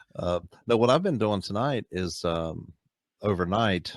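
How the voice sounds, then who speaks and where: A man with an American accent and an ordinary speaking voice, fairly low-pitched, at a fairly slow pace with ordinary pitch variation, in a dry, close sound with no echo. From United States. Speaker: voice actor. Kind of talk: casual podcast conversation.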